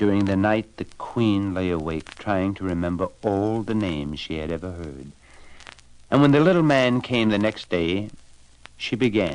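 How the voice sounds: At a fairly slow pace, a man speaks low with a slightly mellow tone and lively intonation.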